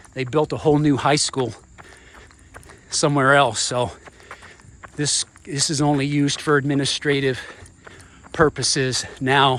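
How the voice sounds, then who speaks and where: A man's fairly high, monotone, flat voice at a moderate pace, with long, frequent pauses and noticeable background noise. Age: 50s. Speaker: vlogger and runner, former military helicopter pilot. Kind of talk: casual vlog while running. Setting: outdoors, walking and running around hometown. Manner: casual, conversational.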